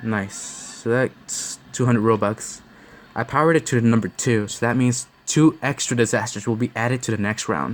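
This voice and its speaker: Medium pitch for a man, ordinary pitch variation and a moderate pace. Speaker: gaming youtuber. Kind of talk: gameplay commentary. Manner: halting, self-correcting.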